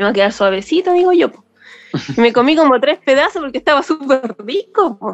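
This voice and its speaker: A woman's high-pitched voice at a fairly quick pace, with very wide swings in pitch. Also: big swings in loudness, dry, close sound with no echo. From Chile, Valparaíso. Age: 30s. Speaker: podcast listener sharing story. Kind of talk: personal testimony. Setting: video call.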